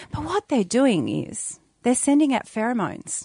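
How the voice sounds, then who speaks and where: In an Australian accent, a woman speaks at a fairly slow pace. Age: 40s. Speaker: doula and mother. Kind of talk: casual chat.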